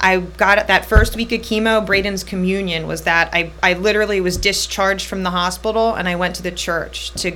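A woman speaks fairly quickly with hardly any pauses, and noticeable noise runs in the background. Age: 30s. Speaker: cancer survivor. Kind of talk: casual chat.

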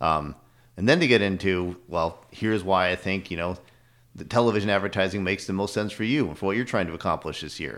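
Very deep and low-pitched, a man with an American accent talks at a very fast pace with ordinary pitch variation, in a very clean recording with a silent background. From northern New York State. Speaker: TV sales manager. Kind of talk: casual interview chat. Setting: studio.

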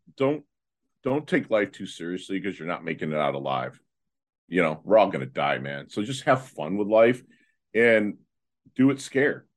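Against a quiet background, a man with an American accent and a fairly low pitch uses vocal fry and very wide pitch swings, moving at a moderate pace with long, frequent pauses. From Michigan. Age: 50s. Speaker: motivational speaker. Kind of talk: interview. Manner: halting.

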